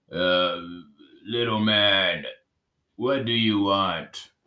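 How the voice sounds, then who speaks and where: A man performs a put-on character voice at a fairly low pitch. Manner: fearsome.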